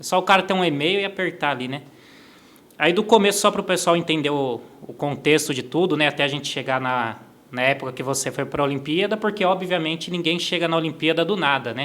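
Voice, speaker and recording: The delivery is at a fairly quick pace. Pitch variation is ordinary. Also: man, fairly high pitch for a man. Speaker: podcast host. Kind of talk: interview podcast. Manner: fast.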